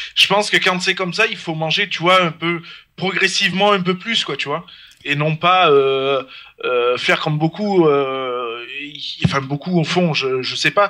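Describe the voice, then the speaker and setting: A man talks at a fairly slow pace. His pitch is high. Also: ordinary pitch variation. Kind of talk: casual chat. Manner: halting.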